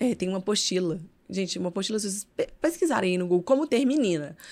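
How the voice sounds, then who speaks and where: The recording is very clean with a silent background. A woman speaks at medium pitch in an animated tone with lively intonation. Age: 30s. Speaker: mother and social media influencer. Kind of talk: casual chat.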